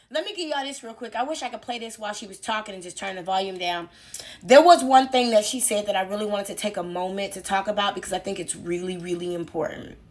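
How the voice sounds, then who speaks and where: Over noticeable background noise, a woman of medium pitch talks at a very fast pace in an animated tone, with lively intonation and big swings in loudness. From Chicago, north side. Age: 40s. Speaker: YouTube commentator. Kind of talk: video commentary.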